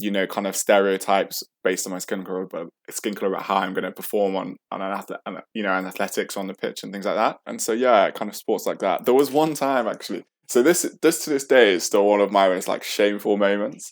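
A man talking at a very fast pace with hardly any pauses, his pitch fairly low with ordinary variation, on a very clean recording with a silent background. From central England. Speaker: storyteller sharing life experience. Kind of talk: personal storytelling interview.

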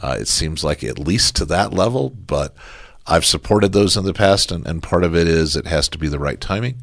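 Vocal fry and lively intonation in a man's very deep, low voice, at a fairly quick pace. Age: 60s. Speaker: mayoral candidate and city council member. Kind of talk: interview answers.

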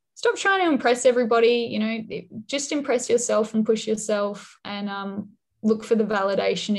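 A woman talks at a fairly quick pace with music behind her. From Western Australia (Perth, Dunsborough). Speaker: journalist. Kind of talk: interview.

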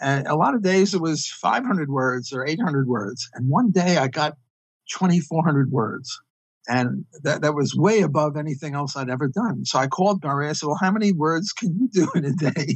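This man has a fairly high pitch and a New York accent. His voice is somewhat breathy. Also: lively intonation, moderate pace. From US Northeast (Brooklyn, New York). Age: 70s. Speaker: economist. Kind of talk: interview. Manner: halting.

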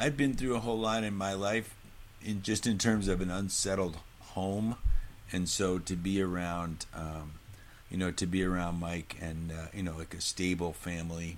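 This man talks at a moderate pace in a very deep, low voice with ordinary pitch variation. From New Hampshire. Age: 50s. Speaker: singer and musician. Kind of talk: casual interview conversation.

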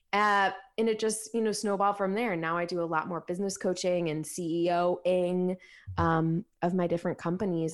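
In an unremarkable speaking voice, a woman with an American accent talks at a fairly quick pace and a fairly low pitch with fairly even intonation, on a very clean recording with a silent background. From Ohio, US Midwest. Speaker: functional dietitian and business coach. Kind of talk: casual interview.

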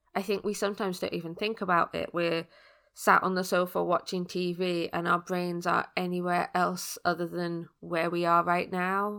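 A woman with a British accent at a fairly low pitch, moderate pace and monotone, flat intonation, on a very clean recording with a silent background. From UK. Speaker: podcast host, personal development coach. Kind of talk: interview podcast.

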